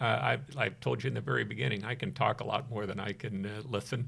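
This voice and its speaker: The speaker talks at a fairly quick pace with an American accent and vocal fry. The recording is very clean, with a silent background. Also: man. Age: 60s. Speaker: podcast host. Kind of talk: interview.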